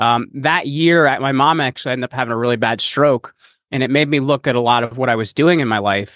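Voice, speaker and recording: A man with an American accent and a normal speaking voice talks at a fairly quick pace in a medium pitch with ordinary pitch variation. The sound is dry and close, with no echo. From United States. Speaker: podcast host and entrepreneur. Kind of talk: interview.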